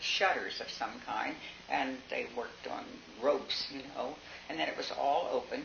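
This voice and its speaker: Over noticeable background noise and with audible room echo, a woman speaks at a fairly slow pace. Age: 80s+. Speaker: local elder recalling town history. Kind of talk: oral history interview. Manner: halting, with fillers.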